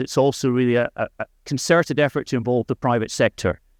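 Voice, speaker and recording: A man with a Scottish accent talks at a fairly quick pace and a medium pitch with ordinary pitch variation, in a dry, close sound with no echo over a quiet background. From Scotland. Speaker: diplomat. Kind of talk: conference speech.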